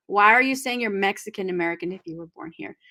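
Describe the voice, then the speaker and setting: Recorded very clean against a silent background, a woman with a Spanish accent speaks at a medium pitch in a bright, sharp tone. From California Central Valley. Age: 40s. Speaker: discussion host. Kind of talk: book discussion. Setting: live video stream.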